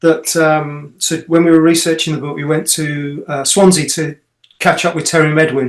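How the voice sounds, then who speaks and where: A man at a fairly high pitch and a moderate pace. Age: 60s. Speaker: author and son of a late footballer. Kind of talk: interview. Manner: halting, many repeats and fillers.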